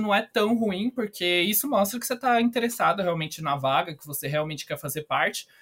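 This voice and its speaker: A man talks at a fairly quick pace with ordinary pitch variation. Music plays behind him. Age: 20s. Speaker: company trainee. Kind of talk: podcast interview.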